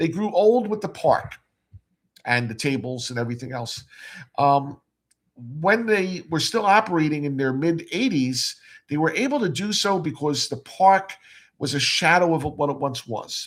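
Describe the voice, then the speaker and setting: A man at a moderate pace with very wide pitch swings and long, frequent pauses, in a very clean recording with a silent background. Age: 60s. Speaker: amusement collector and arcade operator. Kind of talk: live stream interview chat. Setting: live stream. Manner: halting, repeats words.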